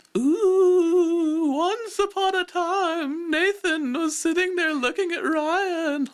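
A man does a put-on character voice at an extremely high pitch, speaking at a very slow pace. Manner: ghostly; narrating.

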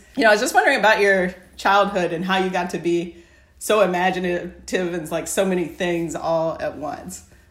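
With audible room echo around her, a woman speaks in fairly even intonation. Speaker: podcast host. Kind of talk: interview.

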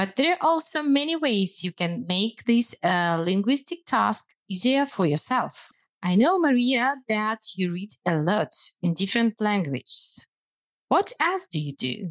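In a Russian accent, a woman speaks at a fairly slow pace with a fairly high pitch and very wide pitch swings, in a dry, close sound with no echo and a very clean recording with a silent background. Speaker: language lecturer. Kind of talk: casual chat.

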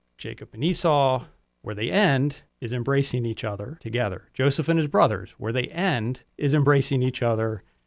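With a normal speaking voice, a man uses lively intonation at a moderate pace and a medium pitch. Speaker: advisory board member. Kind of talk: radio interview.

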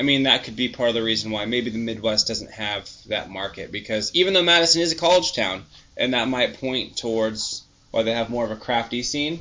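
A man at a medium pitch and moderate pace, an ordinary speaking voice. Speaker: beer podcast co-host. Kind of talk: casual chat.

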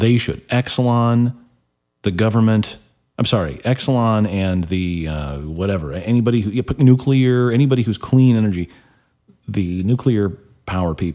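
A man with a Midwestern American accent speaks at a moderate pace in a fairly low voice with a dark, mellow tone and lively intonation. The recording is very clean, with a silent background. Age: 40s. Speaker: talk radio host. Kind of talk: talk radio monologue.

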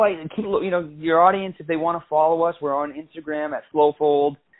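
At a moderate pace, a man talks with a high pitch. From Maine. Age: 20s. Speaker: company executive. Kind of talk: interview. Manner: halting, many repetitions.

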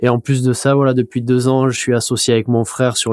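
A man is speaking. His tone is dark and mellow. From Mimizan, Landes, southwest France. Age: 30s. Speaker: professional surfer. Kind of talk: casual interview. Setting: studio. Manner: hesitant, many repetitions.

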